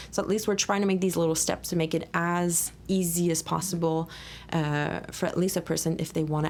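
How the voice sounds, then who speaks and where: In a Quebec accent, a woman speaks fairly quickly at a fairly low pitch, her intonation monotone and flat. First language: French. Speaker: podcast host, volunteer coordinator. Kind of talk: casual interview chat.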